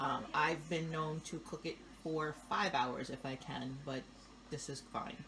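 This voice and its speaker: A woman with an American accent has a very deep, low voice. Noticeable background noise is present. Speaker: home cook showing a family recipe. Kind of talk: cooking tutorial. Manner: casual, chatty.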